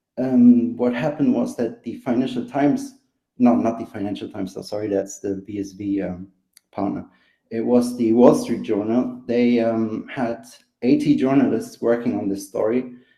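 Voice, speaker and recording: Speech comes at a moderate pace. It is delivered with a German accent. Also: man. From Germany. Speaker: caller. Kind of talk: live panel discussion. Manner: halting, many fillers.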